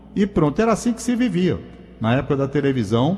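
With music playing behind him, a man talks fairly fast and with lively intonation. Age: 70s. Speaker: radio and TV veteran. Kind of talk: casual radio chat.

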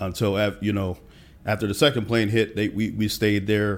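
With an American accent, an unremarkable speaking voice moves at a moderate pace with fairly even intonation. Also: man. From Pennsylvania (Allentown). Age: 40s. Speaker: tech professional. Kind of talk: interview.

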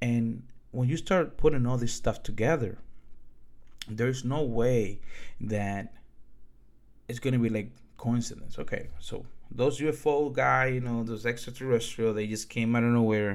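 A man of medium pitch speaks at a moderate pace with fairly even intonation. Long, frequent pauses break his speech amid audible room echo. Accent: Dominican. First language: Spanish. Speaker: podcaster. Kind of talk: monologue storytelling.

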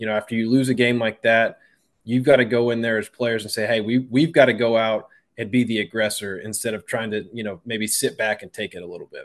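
Over a quiet background, a man with an ordinary speaking voice at medium pitch talks at a fairly quick pace, his intonation fairly even but with big swings in loudness. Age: middle-aged. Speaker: former college quarterback and radio analyst. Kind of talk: interview.

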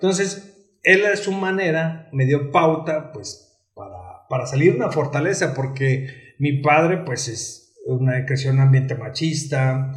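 Audible room echo surrounds a man speaking at a very slow pace in a fairly high pitch with ordinary pitch variation. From Mexico, San Luis Potosí. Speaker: psychologist and LGBT rights activist. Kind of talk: interview, casual chat.

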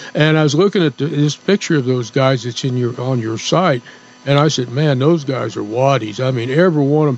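Speaking fairly quickly in an unremarkable speaking voice, a man at a medium pitch shows ordinary pitch variation and big swings in loudness. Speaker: radio co-host. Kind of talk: casual chat.

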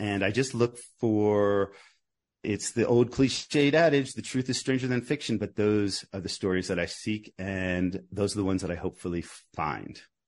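Against a quiet background, a man with a normal speaking voice talks at a moderate pace in a fairly low pitch with ordinary pitch variation. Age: 50s. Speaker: author and journalist. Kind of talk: interview.

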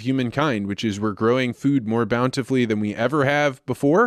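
A man with an American accent uses an ordinary speaking voice at medium pitch, with ordinary pitch variation and a fairly quick pace, in a dry, close sound with no echo over a quiet background. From central Illinois, US Midwest. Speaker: agricultural communications consultant. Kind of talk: interview.

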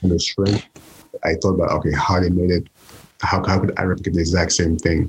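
A fairly quick pace and very even loudness, broken by long, frequent pauses. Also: man, very deep, low pitch for a man. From Saint Lucia. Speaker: chef. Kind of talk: casual chat.

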